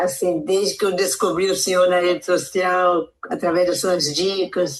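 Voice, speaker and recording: A woman's fairly low voice at a fairly slow pace. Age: 60s. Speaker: weight-loss program participant. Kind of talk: audio testimonial.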